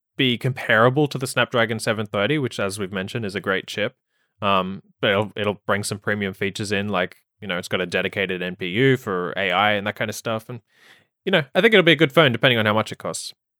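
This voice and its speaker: A man talks with an American accent. His pace is very fast. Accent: muted Australian, slightly American. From Australia. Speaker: tech journalist. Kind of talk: casual chat.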